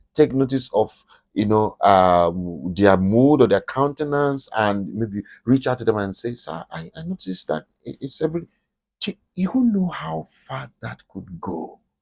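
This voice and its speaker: The voice makes very wide pitch swings and big swings in loudness. The sound is dry and close, with no echo. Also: man, medium pitch for a man, fairly slow pace. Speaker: podcast host. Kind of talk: motivational talk. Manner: animated; whispering.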